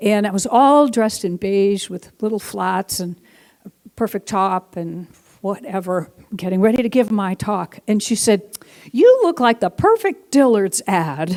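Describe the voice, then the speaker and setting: The speech is fairly slow with ordinary pitch variation, recorded dry and close with no echo. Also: woman, medium pitch for a woman. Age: 60s. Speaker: guest minister. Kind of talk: sermon. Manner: animated.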